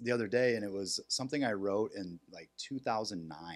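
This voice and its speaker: This man has a normal speaking voice, medium in pitch, with an American accent and ordinary pitch variation. He talks at a moderate pace on a very clean recording with a silent background. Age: 30s. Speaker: military veteran and comedian. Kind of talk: casual chat.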